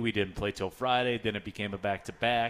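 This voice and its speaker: A man talks at a fairly quick pace with ordinary pitch variation. His is an ordinary speaking voice, medium in pitch. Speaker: radio play-by-play announcer and host. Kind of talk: live radio show hosting. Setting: live at a pub with audience.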